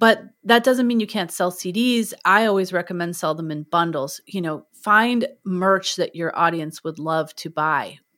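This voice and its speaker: A woman's bright, sharp voice at medium pitch, fairly slow with hardly any pauses and ordinary pitch variation, on a very clean recording with a silent background. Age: 40s. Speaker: music educator and podcast host. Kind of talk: interview conversation.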